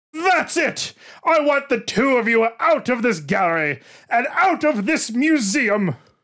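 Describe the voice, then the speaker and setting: Someone puts on a character voice at a fairly high pitch and a fairly slow pace, on a very clean recording with a silent background. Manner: loud, dramatic, commanding; angry, shouting an order.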